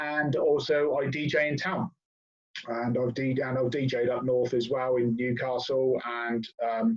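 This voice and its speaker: Speaking at a fairly slow pace with a southern English accent, a man keeps a medium pitch, fairly even intonation and very even loudness. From southern England, Oxford. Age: 40s. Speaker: guest, hip hop fan and DJ. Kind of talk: casual chat.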